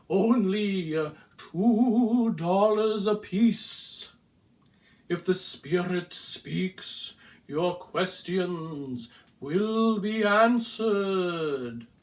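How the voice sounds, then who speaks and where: A put-on character voice with a solemn tone, middle pitch and a very slow pace. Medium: read story. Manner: intoning, solemn.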